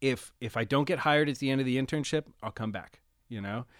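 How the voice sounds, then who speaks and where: Recorded very cleanly with a silent background and a dry, close sound with no echo, a man with a normal speaking voice and an American accent talks at a fairly quick pace at a medium pitch. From Pennsylvania, US (Reading, later near Pittsburgh). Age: 30s. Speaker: recording engineer and producer, former Marine. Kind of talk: casual interview chat.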